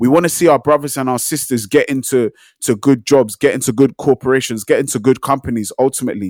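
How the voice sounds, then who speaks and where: A man's medium-pitched voice at a very fast pace, ordinary in pitch variation, dry and close with no echo. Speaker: podcast co-host. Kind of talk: casual chat podcast discussion.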